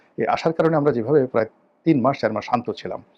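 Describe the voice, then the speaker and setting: A man's normal speaking voice at a fairly high pitch. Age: 50s. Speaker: political commentator. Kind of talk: political commentary monologue.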